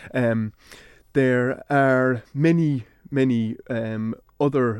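With an Irish accent, a man talks with fairly even intonation against a quiet background. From Ireland. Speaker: university lecturer in Celtic studies. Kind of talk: radio interview.

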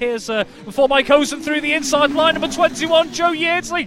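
Noticeable background noise runs under a man speaking in an animated tone. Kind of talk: live race commentary. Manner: fast, rattling off riders' numbers and positions as they flash by.

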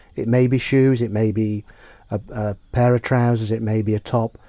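On a very clean recording with a silent background, a man speaks at a moderate pace and medium pitch in a dark, mellow tone with monotone, flat intonation. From Isle of Man. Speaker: bank employee. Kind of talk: radio interview.

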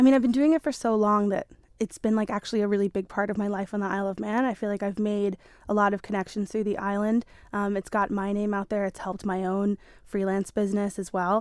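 A woman talks at a very fast pace with an American accent, medium pitch and fairly even intonation. The sound is dry and close, with no echo. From New York. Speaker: drawing club organiser. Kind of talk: casual interview.

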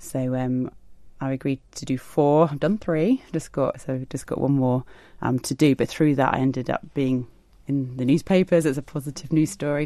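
Her voice dark and mellow with a very deep, low pitch, a woman talks at a moderate pace with fairly even intonation. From South East England. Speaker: artist and illustrator. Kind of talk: radio interview. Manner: halting, many fillers.

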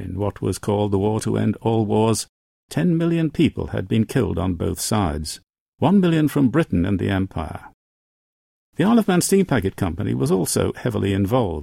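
At a fairly quick pace, a man with a fairly low pitch and a dark, mellow tone swings very widely in pitch. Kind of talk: history documentary narration. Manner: measured, formal, steady storytelling pace; solemn, authoritative, clearly enunciated.

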